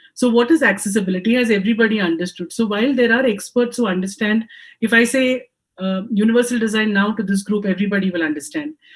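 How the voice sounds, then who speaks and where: With music in the background, a woman with a fairly high pitch speaks at a very fast pace and with ordinary pitch variation. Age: 50s. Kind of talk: panel discussion. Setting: home office video call. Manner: hesitant, frequent ums.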